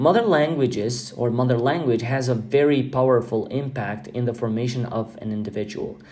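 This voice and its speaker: With audible room echo, a man with an Albanian accent talks at a fairly quick pace and hardly pauses, his medium pitch showing ordinary variation. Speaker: podcast host. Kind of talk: podcast monologue. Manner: halting with fillers.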